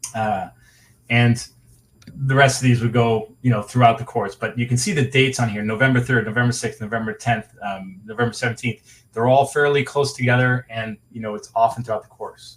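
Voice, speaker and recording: At a fairly quick pace, the voice comes out somewhat breathy, with fairly even intonation. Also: man, medium pitch for a man. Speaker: webinar presenter. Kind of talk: webinar presentation. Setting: online webinar. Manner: fast.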